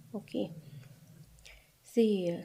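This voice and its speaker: Somewhat breathy and dark, mellow in tone, a woman speaks at a very slow pace in a fairly low pitch with lively intonation. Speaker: programming instructor. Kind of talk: tutorial.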